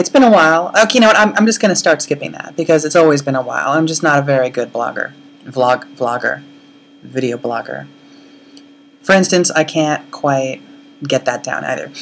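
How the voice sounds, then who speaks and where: Against noticeable background noise, a woman with a very deep, low pitch speaks at a moderate pace. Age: 30s. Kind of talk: casual video blog to camera. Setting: blown-out audio. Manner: rambling, chatty.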